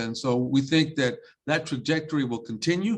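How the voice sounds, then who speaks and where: With a normal speaking voice, a man talks at a fairly quick pace. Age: 60s. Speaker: school superintendent. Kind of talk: panel discussion.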